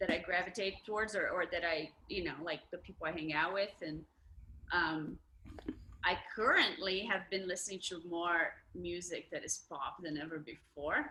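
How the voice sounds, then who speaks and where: A woman speaks at a fairly slow pace with a fairly low pitch. Her tone is bright and sharp, with ordinary pitch variation. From Brazil. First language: Portuguese. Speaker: musician. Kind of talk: casual chat. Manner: halting.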